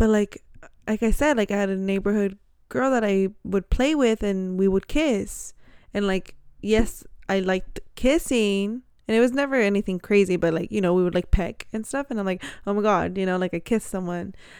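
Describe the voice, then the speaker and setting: In a very clean recording with a silent background, a woman speaks at a moderate pace with ordinary pitch variation. It is a plain, everyday voice. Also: medium pitch for a woman. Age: 20s. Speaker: podcast co-host sharing coming-out story. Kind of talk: casual chat and personal testimony. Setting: recording at home on a bed.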